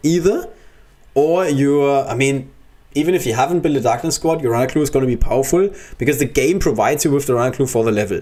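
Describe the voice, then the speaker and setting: With a slight German accent, a man speaks at a fairly quick pace with lively intonation. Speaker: gaming streamer. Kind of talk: live gameplay commentary. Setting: livestream. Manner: casual, thinking aloud.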